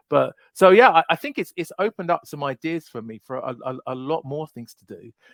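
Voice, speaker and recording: A man with a British accent at a fairly quick pace, in dry, close sound with no echo. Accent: mild British. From UK. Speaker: knife YouTuber. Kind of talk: casual chat. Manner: halting, many repeated words.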